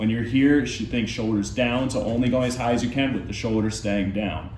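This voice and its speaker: A man speaks at a fairly quick pace with fairly even intonation. Noticeable background noise and audible room echo are present. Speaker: fitness coach. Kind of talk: follow-along workout instruction. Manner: quieter, lower voice while lying face down.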